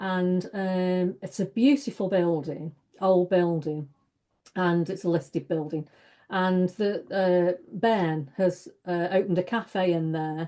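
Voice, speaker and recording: At a very slow pace, a woman speaks at a medium pitch with ordinary variation. Her tone is dark and mellow, and the background is quiet. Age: 60s. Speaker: stress coach and author. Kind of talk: casual chat.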